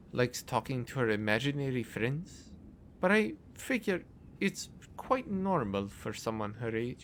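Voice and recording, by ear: A passage is read aloud in a natural voice.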